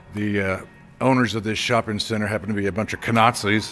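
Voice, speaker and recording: A man talks at a very fast pace as faint music plays in the background. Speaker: walking vlogger. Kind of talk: casual vlog chat. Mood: disgruntled, complaining. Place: hall. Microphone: phone near.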